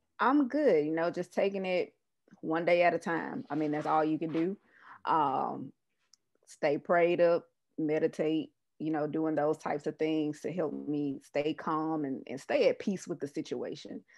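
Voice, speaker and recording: A woman with a slight Southern US accent speaks at a fairly slow pace in a very deep, low pitch. Her pitch variation is ordinary, and the background is quiet. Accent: Southern US, slight twang. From US South, Mississippi (Jackson). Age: 30s. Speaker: public health professional. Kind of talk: interview conversation.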